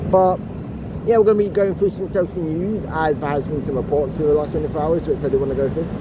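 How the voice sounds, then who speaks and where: Clear background noise accompanies speech that rushes along very fast. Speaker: football fan vlogger. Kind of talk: casual vlog commentary. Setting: outdoors, walking. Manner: stuttering, halting.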